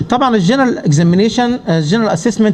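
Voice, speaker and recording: With an Arabic accent, a man speaks at a very fast pace in a high pitch with ordinary pitch variation, over noticeable background noise. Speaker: pulmonology professor. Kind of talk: conference lecture. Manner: halting.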